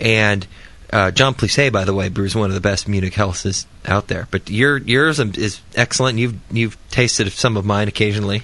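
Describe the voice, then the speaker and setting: A man talks at a moderate pace in an ordinary speaking voice. His pitch is fairly low, with ordinary variation. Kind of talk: casual banter and technical discussion.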